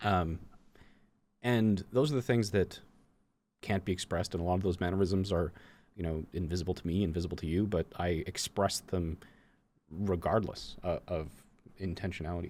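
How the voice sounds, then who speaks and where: Very deep and low, a man's voice moves at a moderate pace with fairly even intonation and long, frequent pauses. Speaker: gaming coach and content creator. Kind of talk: casual conversation. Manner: halting, many fillers and restarts; stutters at times.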